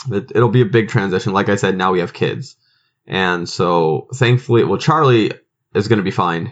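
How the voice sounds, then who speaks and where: Speaking at a moderate pace with ordinary pitch variation, a man with a fairly low pitch and an American accent has a plain, everyday voice. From grew up overseas, US Midwestern parents. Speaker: podcast host and minister. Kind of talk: casual chat.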